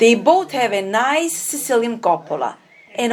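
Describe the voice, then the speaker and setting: Very wide pitch swings in a woman's fairly high voice, a moderate pace, and noticeable background noise. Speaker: documentary narrator and interviewer. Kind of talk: documentary narration.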